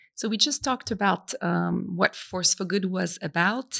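In a very clean recording with a silent background, a woman speaks at a medium pitch with a French accent. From France, Brittany. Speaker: business school institute director. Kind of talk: interview.

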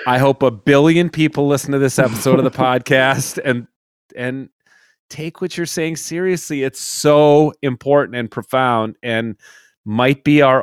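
An ordinary speaking voice from a man, fairly high in pitch with ordinary pitch variation, comes at a fairly slow pace in a very clean recording with a silent background and a dry, close sound with no echo. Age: 50s. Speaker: podcast host, reverend and hunter. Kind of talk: casual podcast chat.

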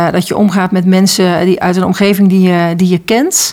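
The pace here runs fairly slow. It is an unremarkable speaking voice. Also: woman. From North Brabant, Netherlands. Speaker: school internship coordinator. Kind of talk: interview.

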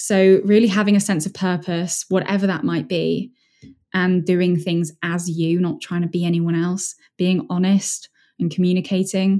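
This woman's voice has a dark, mellow tone. Her intonation stays fairly even. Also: medium pitch for a woman. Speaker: mindset strategist and speaker. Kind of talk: interview. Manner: fast.

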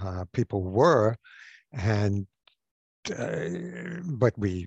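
The man's fairly low, somewhat breathy voice comes across dry and close with no echo. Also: quiet background. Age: 70s. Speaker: psychotherapist and author. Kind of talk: interview.

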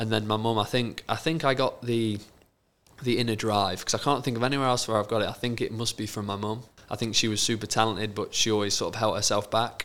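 A man with an East Midlands accent talks at a very fast pace. His medium-pitched voice keeps a fairly even intonation. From England, Lincolnshire. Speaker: professional footballer. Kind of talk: casual chat.

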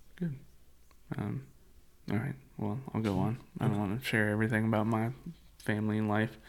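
A man talks at a fairly quick pace with ordinary pitch variation. He takes long, frequent pauses. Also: fairly low pitch for a man. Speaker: church podcast co-host, church staff. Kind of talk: casual chat. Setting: studio. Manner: voice shifts to a podcast announcer voice.

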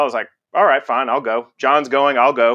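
At a very fast pace, a man talks at a medium pitch with fairly even intonation. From Texas (Conroe, near Houston). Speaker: radiologist, department chair. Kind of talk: interview conversation.

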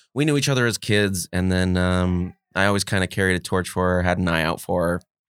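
A man with a very deep, low voice and a Californian accent speaks in a dry, close sound with no echo, over a silent background on a very clean recording. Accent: Californian American. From US West Coast, Los Angeles (Mar Vista). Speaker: comedian. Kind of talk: casual chat.

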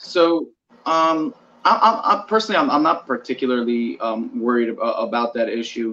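His intonation is lively. This man has a plain, everyday voice at a medium pitch. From Toronto, Canada. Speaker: author and blogger. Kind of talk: casual interview chat.

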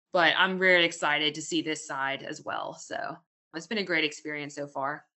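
A woman puts on a character voice that is raspy and very deep and low, delivered at a moderate pace. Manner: enthusiastic.

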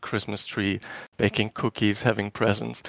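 Recorded very clean with a silent background and a dry, close sound with no echo, a man speaks with a German accent. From Germany, former East Germany. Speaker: caller. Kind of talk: casual chat.

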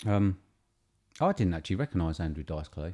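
A man speaks in a very deep, low pitch with a dark, mellow tone and a somewhat breathy quality. The recording is very clean, with a silent background. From southern England. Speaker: podcast co-host. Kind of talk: casual chat.

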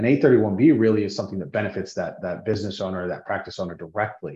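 A man with an American accent talks at a very fast pace. His pitch is fairly low, with ordinary variation. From US Intermountain West. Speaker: business development director for a tax-advantaged insurance plan administrator. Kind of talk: interview, explaining a financial product.

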